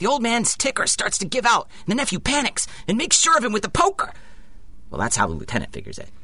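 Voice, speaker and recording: A man at an extremely high pitch, very wide pitch swings and a very fast pace, over noticeable background noise. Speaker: audio drama actor, police sergeant character.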